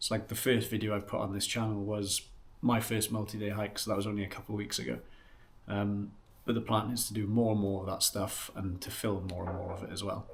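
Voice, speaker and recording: With a Welsh accent, a man talks at a very fast pace in a fairly low, somewhat breathy voice. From West Wales. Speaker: outdoor vlogger. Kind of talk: casual vlog intro. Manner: casual, hesitant with fillers.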